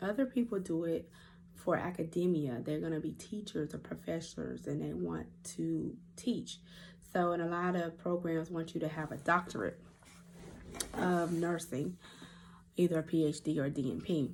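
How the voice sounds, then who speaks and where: A woman with a Southern accent speaks with long, frequent pauses. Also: moderate pace. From US South (North Carolina, then Georgia from age eight). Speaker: nurse practitioner running a clinic. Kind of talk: casual vlog talk. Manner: hesitant, many fillers.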